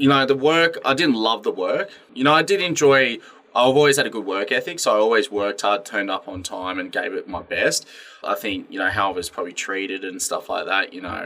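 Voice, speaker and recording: A fairly quick delivery in an Australian accent. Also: man. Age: 20s. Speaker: gym owner and personal trainer. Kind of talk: casual interview chat.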